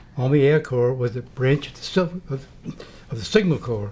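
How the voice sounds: A man's dark, mellow tone at a fairly quick pace.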